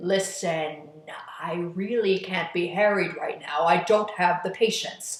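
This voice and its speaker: In a put-on character voice, the speaker holds a middle pitch at a fairly slow pace. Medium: read story. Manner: controlling, menacing.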